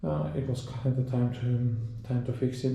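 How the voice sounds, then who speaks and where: A man with a non-native accent and a medium pitch speaks at a fairly slow pace, with audible room echo. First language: not English. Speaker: motorcycle owner / video creator. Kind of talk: casual tutorial walkthrough. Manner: halting, many fillers and self-corrections.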